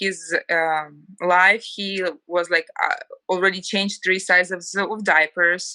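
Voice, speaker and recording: Speaking at a fairly slow pace, a woman uses a medium pitch, a bright, sharp tone and monotone, flat intonation. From Ukraine. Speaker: homemaker, former TV journalist. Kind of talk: casual interview.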